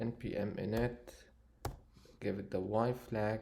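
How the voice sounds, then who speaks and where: A man speaks at a medium pitch. His voice is somewhat breathy, with a dark, mellow tone. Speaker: programming tutorial creator. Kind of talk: tutorial. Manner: halting, many fillers.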